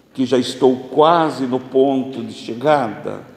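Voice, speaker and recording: Very slow speech from a man, noticeable background noise, and audible room echo. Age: 60s. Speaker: spiritist lecturer. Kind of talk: religious lecture.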